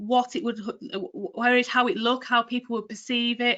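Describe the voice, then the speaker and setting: Against a quiet background, a woman with a Cumbrian accent speaks at a high pitch in a bright, sharp tone. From northern England, Cumbria. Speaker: retail trading and delivery manager. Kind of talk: career talk in a webinar. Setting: online webinar.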